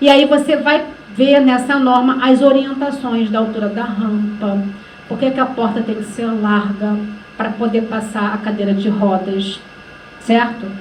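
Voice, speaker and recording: A woman talks with fairly even intonation. Noticeable background noise and audible room echo are present. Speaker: workshop facilitator. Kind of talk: lecture.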